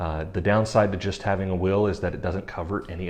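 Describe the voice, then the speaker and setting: A man talks at a fairly quick pace in a fairly low pitch, with ordinary pitch variation. It is a normal speaking voice. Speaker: estate planning lawyer. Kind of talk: explainer video.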